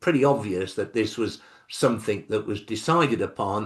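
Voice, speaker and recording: Against a quiet background, a man with an English accent speaks at a moderate pace with a fairly low pitch and lively intonation. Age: 70s. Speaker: author. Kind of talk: interview.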